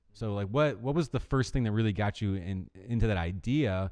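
Against a quiet background, a man speaks at a fairly quick pace with lively intonation. His pitch is fairly low and his tone dark and mellow. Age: 30s. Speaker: podcast host. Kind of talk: casual interview chat; scripted intro.

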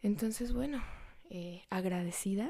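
Her tone dark and mellow, a woman talks at a fairly slow pace with ordinary pitch variation. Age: young. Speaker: podcast host. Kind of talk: casual monologue.

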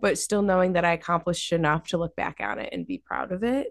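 The recording has a quiet background and a dry, close sound with no echo. A woman speaks with a fairly low pitch. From US Northeast, Massachusetts Berkshires (Dalton). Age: 20s. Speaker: cannabis photographer and marketer. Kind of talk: interview conversation.

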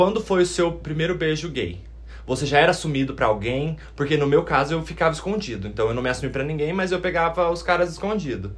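Very fast, lively speech from a man with a fairly high pitch and vocal fry. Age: 20s. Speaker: podcast co-host. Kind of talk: casual chat.

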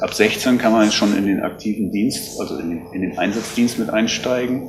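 A man's medium-pitched voice with fairly even intonation, audible room echo and music in the background. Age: 50s. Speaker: lifeguard association official. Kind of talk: interview. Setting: on location at rescue station.

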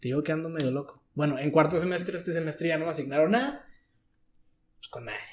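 Delivered at a very fast pace with long, frequent pauses, the speech shows ordinary pitch variation and big swings in loudness. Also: man, fairly high pitch for a man. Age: 20s. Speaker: university student. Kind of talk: casual chat.

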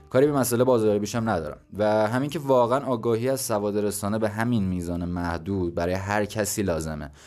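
A man talks very fast, with hardly any pauses, at a fairly low pitch and ordinary pitch variation. Music plays in the background. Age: 20s. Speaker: podcast host. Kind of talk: solo educational monologue. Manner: casual.

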